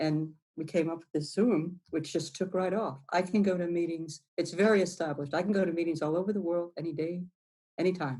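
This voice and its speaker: A woman speaks in a fairly low pitch with a dark, mellow tone. Her intonation stays fairly even. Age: 60s. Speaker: recovering addict, weather satellite worker. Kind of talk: interview. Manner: halting.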